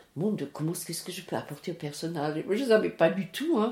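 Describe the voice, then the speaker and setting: With a dark, mellow tone, the woman speaks with ordinary pitch variation. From France, Alsace (Strasbourg). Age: 80s+. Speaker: retiree sharing life story. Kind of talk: life story interview. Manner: halting.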